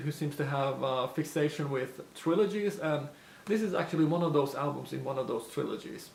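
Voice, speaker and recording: A man with a non-native accent and a fairly high voice speaks at a fairly quick pace amid noticeable background noise. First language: not English. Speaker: lure maker and YouTuber. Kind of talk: casual Q&A talk to camera. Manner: hesitant, many fillers.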